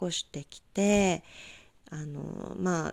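The recording is very clean, with a silent background. A woman speaks in a dark, mellow tone. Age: 20s. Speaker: solo podcaster, freelancer. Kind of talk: solo monologue podcast. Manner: casual, polite.

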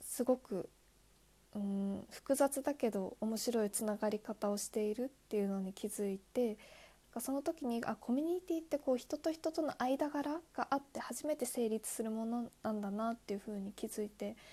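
A woman speaks at a fairly high pitch with a dark, mellow tone. Her pace is moderate and her pitch varies in an ordinary way. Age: 20s. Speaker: podcaster, new office worker. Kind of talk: solo monologue, self-introduction. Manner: hesitant, many fillers.

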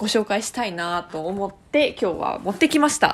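A woman's lively intonation at a moderate pace, over noticeable background noise. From Tokyo, Japan. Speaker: podcast host. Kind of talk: casual solo talk.

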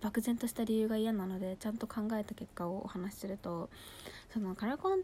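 Somewhat breathy and fairly high-pitched, a woman talks at a fairly quick pace with a dark, mellow tone. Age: 20s. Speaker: beauty podcaster. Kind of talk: casual monologue. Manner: animated.

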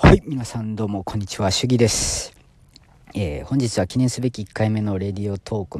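With a slight Osaka accent, a man talks at a fairly quick pace and fairly low pitch, with ordinary pitch variation and big swings in loudness. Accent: Kansai (Osaka) accent, slight. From Osaka, Japan. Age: 30s. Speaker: pharmaceutical sales rep and new podcaster. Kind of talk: casual solo self-introduction podcast.

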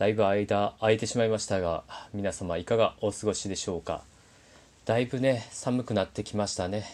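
A man speaks in a plain, everyday voice with a fairly low pitch and fairly even intonation. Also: moderate pace. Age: 30s. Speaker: podcaster. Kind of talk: casual monologue.

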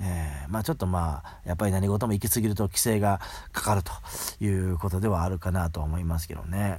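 A man with a very deep, low, dark and mellow voice speaks at a fairly quick pace, somewhat breathy, with ordinary pitch variation. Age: 40s. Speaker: podcast host. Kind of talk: casual monologue with book reading. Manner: casual, many fillers.

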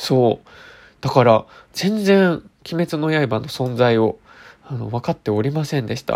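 A man speaks at a fairly slow pace with lively intonation and long, frequent pauses. The recording is very clean, with a silent background. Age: 30s. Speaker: beauty expert and radio host. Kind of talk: casual solo chat. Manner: frequent filler words, meandering; gentle, polite.

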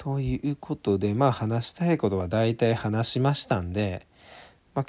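Recorded very cleanly over a silent background, a man speaks in a dark, mellow tone at medium pitch with ordinary pitch variation. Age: 20s. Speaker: amateur podcaster. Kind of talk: casual monologue.

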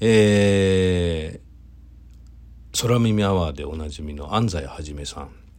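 The voice is relaxed in tone and very slow, with ordinary pitch variation and big swings in loudness, heard with audible room echo and noticeable background noise. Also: man, very deep, low pitch for a man. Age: 40s. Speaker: event producer. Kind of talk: solo talk monologue. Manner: relaxed, many fillers.

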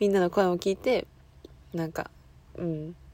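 Ordinary pitch variation and a moderate pace from a woman with a fairly low pitch and an unremarkable speaking voice. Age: 20s. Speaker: student podcaster. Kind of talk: casual monologue.

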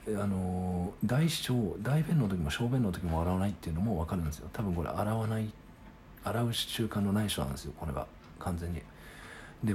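Amid noticeable background noise, a man with a very deep, low pitch talks at a fairly quick pace with lively intonation. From Japan, Sagamihara (Kanagawa). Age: 30s. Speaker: podcaster. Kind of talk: solo casual monologue. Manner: halting, many fillers.

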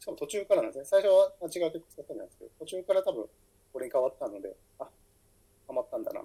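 A man talks at a very fast pace, broken by long, frequent pauses. His loudness swings widely. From Fukuoka, Japan. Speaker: writer and editor. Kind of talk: solo podcast monologue. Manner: halting, many fillers.

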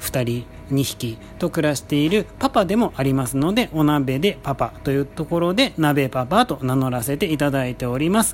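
Music plays in the background as a man speaks at a fairly high pitch. His moderate pace, with hardly any pauses, carries lively intonation. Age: 30s. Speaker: podcast host. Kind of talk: casual monologue. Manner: polite, many filler words.

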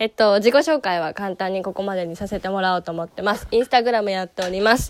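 A woman with a medium pitch talks at a fairly quick pace, her intonation lively. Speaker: picture book instructor and podcaster. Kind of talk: casual self-introduction monologue. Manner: halting, many fillers.

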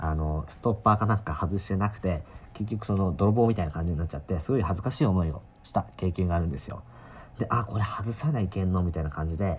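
A man speaks very fast in a very deep, low pitch that is somewhat breathy. His pitch variation is ordinary. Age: 20s. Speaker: solo podcaster, university student. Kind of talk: casual solo monologue. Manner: hesitant, many fillers.

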